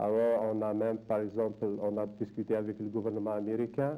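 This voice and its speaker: A man talks at a fairly slow pace and a fairly low pitch. His voice is dark and mellow, with monotone, flat intonation. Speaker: diaspora academic panelist. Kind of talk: round table discussion. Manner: halting.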